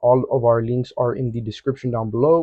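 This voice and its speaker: Somewhat breathy and at a medium pitch, a man talks at a fairly quick pace. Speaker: forex trading educator. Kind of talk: market analysis tutorial. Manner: fast; casual, energetic.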